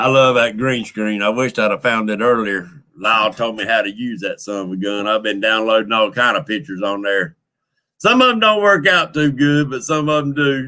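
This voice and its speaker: With a Southern US accent, a man talks at a fairly quick pace. His pitch is medium, with ordinary variation. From Louisiana, Creole French heritage. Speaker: fishing livestream host. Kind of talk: casual livestream chat. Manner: loud.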